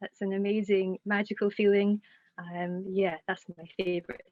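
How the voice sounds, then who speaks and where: A woman with a Scottish accent speaks at medium pitch and a moderate pace in a monotone, flat intonation, her loudness swinging widely. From Scotland. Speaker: singer-songwriter. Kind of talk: interview answer. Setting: Zoom call.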